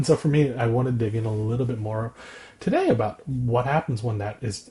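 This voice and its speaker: A man talks very fast in a dark, mellow tone. His voice is somewhat breathy. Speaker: podcast co-host discussing therapy skills. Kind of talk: casual conversation about personal experience. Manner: calm, measured tone; halting, with repetitions.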